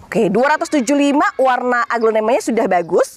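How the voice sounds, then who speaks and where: Fairly high in pitch, a woman talks at a fairly quick pace in an animated tone. The sound is dry, with no echo. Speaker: plant nursery seller. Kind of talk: street seller; sales pitch. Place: garden.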